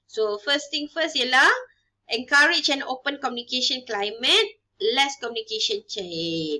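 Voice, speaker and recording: A woman projects a raised, high-pitched voice with very wide pitch swings. Her pace is fairly slow. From Malaysia. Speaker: university lecturer. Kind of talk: lecture. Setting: recorded online video lesson. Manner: code-switching English and Malay. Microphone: webcam.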